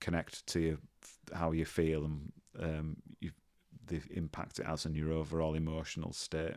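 Delivered at a moderate pace in a Yorkshire accent, the speech is monotone and flat, broken by long, frequent pauses. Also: man, very deep, low pitch for a man. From northern England, Leeds. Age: 40s. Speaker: nursing professor. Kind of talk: casual chat.

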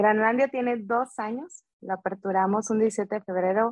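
This woman has a plain, everyday voice with medium pitch and ordinary pitch variation. She talks at a fairly slow pace. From Veracruz, Mexico. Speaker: food business owner. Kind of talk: interview.

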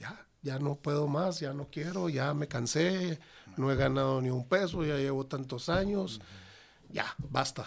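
A man speaks at a fairly slow pace in an unremarkable speaking voice. His pitch is fairly high, with ordinary variation. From Ciudad Juárez, Mexico. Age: 50s. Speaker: restaurant owner. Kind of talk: casual interview.

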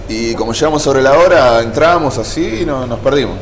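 A man with a Rioplatense accent talks at a fairly quick pace, his medium pitch showing ordinary variation. Audible room echo and noticeable background noise fill the recording. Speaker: survivor of a nightclub fire. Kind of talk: testimony.

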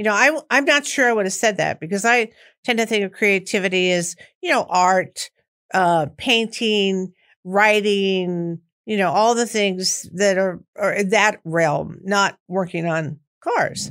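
A woman with an American accent has a plain, everyday voice at medium pitch, using ordinary pitch variation at a fairly slow pace. The recording is very clean, with a silent background. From US Midwest (Missouri, Chicago). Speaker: therapist and podcast host. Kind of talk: casual interview chat.

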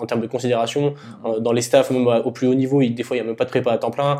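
Monotone, flat intonation from a man, medium in pitch and dark, mellow in tone. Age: 20s. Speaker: podcast host and strength coach. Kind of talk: casual interview.

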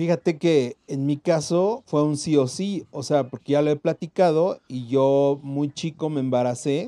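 A man's fairly high, dark and mellow voice with a Mexican accent, fairly slow yet with hardly any pauses, ordinary pitch variation, and a dry, close sound free of echo. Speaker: podcast co-host. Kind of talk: casual chat; reading aloud. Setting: recording from home. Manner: excited.

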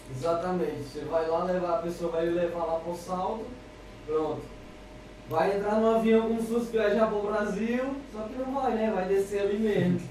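A man's high-pitched voice at a moderate pace, amid noticeable background noise and audible room echo. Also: ordinary pitch variation. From Ceará, Brazil (Fortaleza). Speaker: amateur surfer. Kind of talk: casual chat.

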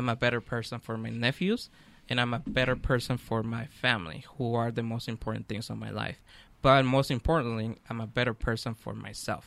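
With fairly even intonation and a medium pitch, a man talks at a fairly quick pace. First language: not English. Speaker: author and radio sound engineer. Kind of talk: radio interview. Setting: studio.

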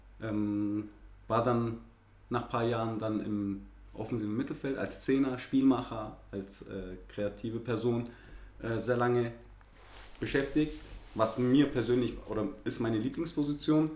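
A man's medium-pitched voice at a fairly slow pace, with fairly even intonation, long and frequent pauses, and audible room echo. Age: 30s. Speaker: amateur footballer. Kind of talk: casual interview. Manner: hesitant, many fillers.

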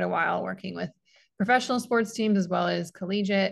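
A woman is speaking. The background is quiet. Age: 20s. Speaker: sports dietitian and former gymnast. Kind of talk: interview.

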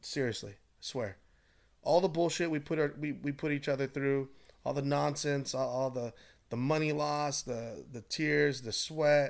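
On a very clean recording with a silent background, a man with an unremarkable speaking voice talks fairly slowly at a fairly high pitch with fairly even intonation. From Southern California, Orange County. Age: 30s. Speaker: salesman. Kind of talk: casual chat.

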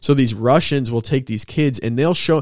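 The man has an unremarkable speaking voice. He talks at a moderate pace with ordinary pitch variation. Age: 20s. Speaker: fitness coach. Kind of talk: casual chat.

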